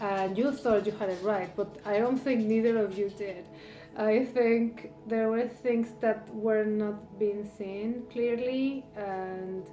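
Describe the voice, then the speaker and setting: A woman with a non-native accent speaks at a very slow pace, her fairly high pitch held to fairly even intonation. Music plays behind her. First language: not English. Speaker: tarot reader. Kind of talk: tarot reading monologue. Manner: halting, many fillers.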